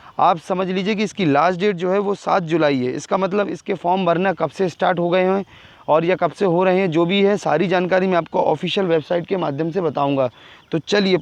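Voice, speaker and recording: A man speaks in a high pitch with fairly even intonation. He hardly pauses at all. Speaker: exam and job news youtuber. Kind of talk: tutorial. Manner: fast.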